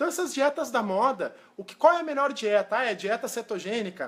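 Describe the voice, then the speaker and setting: A man is speaking. His pace is very fast. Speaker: nutritionist. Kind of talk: live stream talk. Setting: live video stream.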